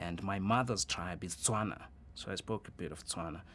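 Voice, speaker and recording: Speaking with a Zulu accent, a man with a very deep, low pitch and vocal fry keeps a moderate pace in a very clean recording with a silent background. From South Africa, Soweto (Johannesburg). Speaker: journalist. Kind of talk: interview. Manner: hesitant, with many fillers.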